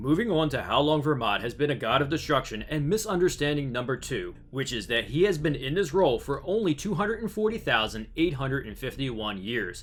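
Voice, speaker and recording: A man's fairly high voice with an American accent, fairly quick and with hardly any pauses, full of very wide pitch swings. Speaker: YouTube anime theory narrator. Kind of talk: scripted narration.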